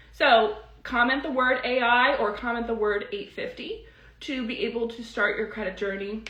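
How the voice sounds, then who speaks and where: A woman talks at a fairly high pitch, and audible room echo follows her words. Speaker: credit repair educator. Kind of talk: live stream teaching and sales pitch. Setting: live stream. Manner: fast; animated.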